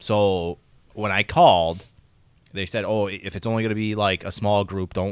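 Delivered at a moderate pace with an American accent, this is an ordinary speaking voice on a very clean recording with a silent background. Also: man. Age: 30s. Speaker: podcast co-host. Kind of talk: casual chat.

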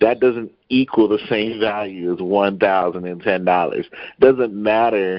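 A plain, everyday voice with fairly even intonation. It moves at a fairly slow pace. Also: man. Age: 30s. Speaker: podcast guest. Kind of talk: casual debate.

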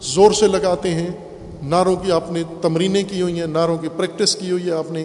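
This man's voice sits high in pitch, with audible room echo. Noticeable background noise runs underneath. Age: 50s. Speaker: Islamic cleric. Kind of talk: sermon.

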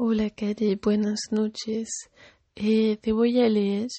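The woman speaks very slowly. Her voice sits at a medium pitch. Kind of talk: poem reading aloud. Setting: addressing a person named Kari, greeting her good evening. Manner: soft, tender, intimate; slow, measured, with pauses.

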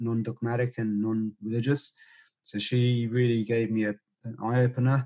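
A man speaks with a British accent. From UK, Indian heritage. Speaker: breathwork teacher and former pharmacist. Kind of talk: interview conversation.

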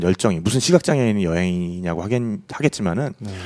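A very clean, silent-background recording of fairly quick speech, ordinary in pitch variation. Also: man. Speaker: travel podcast host and producer. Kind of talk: casual chat.

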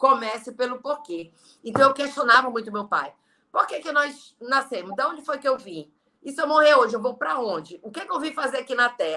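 A woman's raised, projected, high-pitched voice at a fairly quick pace, with lively intonation and big swings in loudness. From Brazil, Belém (Pará). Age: 40s. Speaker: network marketing leader. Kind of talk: interview on a live stream. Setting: video live stream.

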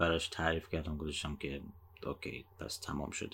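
A soft-spoken man with a very deep, low pitch. His intonation stays monotone and flat. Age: 30s. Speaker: podcast host. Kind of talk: personal monologue. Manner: slow.

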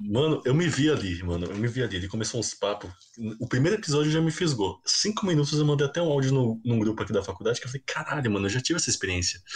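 Noticeable background noise accompanies a man talking at a very fast pace. His pitch is medium for a man, with very wide swings. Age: 20s. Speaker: podcast host. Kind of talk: casual chat.

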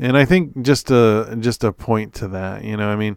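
Fairly low and fairly slow, a man speaks in an ordinary speaking voice with ordinary pitch variation on a very clean recording with a silent background. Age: 40s. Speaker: podcast host, software engineer. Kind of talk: solo monologue podcast. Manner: casual, conversational with many fillers.

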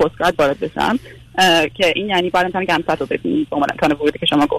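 A man speaks at a very fast pace in a high voice, recorded dry and close with no echo. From Iran. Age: 20s. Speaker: physiotherapist. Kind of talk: radio call-in, personal problem.

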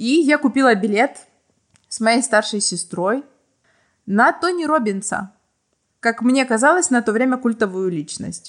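Speaking fairly slowly with long, frequent pauses, a woman with a Ukrainian accent uses a fairly high pitch and lively intonation. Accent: Ukrainian-accented Russian. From small provincial town in Ukraine. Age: 20s. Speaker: podcast guest telling personal stories. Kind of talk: storytelling.

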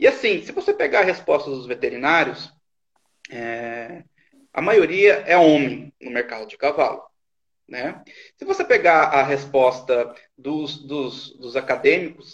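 A man with a fairly high pitch speaks with long, frequent pauses and big swings in loudness. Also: ordinary pitch variation, fairly slow pace. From interior of São Paulo state, Brazil. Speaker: veterinarian and live-stream host. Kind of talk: casual interview on a live stream. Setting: online live stream.

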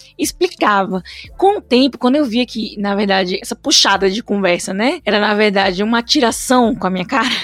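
A woman talks at a fairly quick pace, and noticeable background noise is present throughout. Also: fairly high pitch for a woman, ordinary pitch variation. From Petrolina, Pernambuco, Brazil. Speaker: podcast host. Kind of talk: casual chat.

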